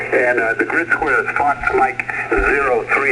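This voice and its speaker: A man speaks over noticeable background noise. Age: 70s. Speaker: ham radio operator checking into a net. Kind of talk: amateur radio net check-in. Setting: ham radio transmission.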